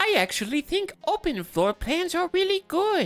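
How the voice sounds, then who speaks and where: A put-on character voice with an extremely high pitch speaks at a moderate pace. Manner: mocking.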